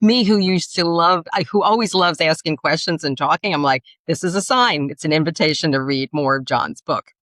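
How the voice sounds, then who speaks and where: At a fairly quick pace, a woman speaks in a fairly low pitch with a New York accent. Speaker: podcast co-host, story and speech coach. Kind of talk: interview conversation.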